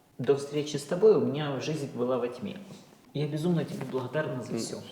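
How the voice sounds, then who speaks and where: Over noticeable background noise, a woman speaks at a moderate pace in a very deep, low pitch. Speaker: Instagram blogger, TV show participant. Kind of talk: interview answer.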